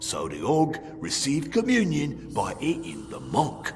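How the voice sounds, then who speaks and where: A put-on character voice at a fairly slow pace. Clear music plays in the background. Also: man. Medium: video game. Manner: dry, sardonic, unhurried.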